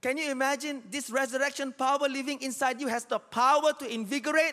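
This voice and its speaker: In a very clean recording with a silent background, a man speaks with an extremely high pitch and a bright, sharp tone, his raised, projected voice animated. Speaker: pastor. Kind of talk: sermon. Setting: church with live congregation. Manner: repeats key lines for emphasis with urgent, rhythmic, exhorting cadence.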